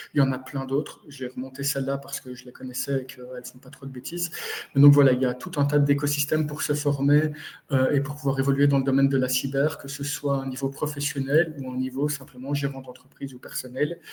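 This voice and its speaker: In a Belgian accent, a man with a fairly high pitch talks at a very fast pace, his intonation monotone and flat while his loudness swings widely. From Belgium. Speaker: cybersecurity consultant. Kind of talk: webinar presentation. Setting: live webinar.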